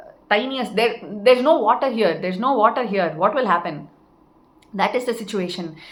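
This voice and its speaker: Amid noticeable background noise, a woman with a fairly high pitch speaks at a moderate pace, her pitch swinging very widely and her loudness rising and falling sharply. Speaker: spiritual teacher. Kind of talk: spiritual talk.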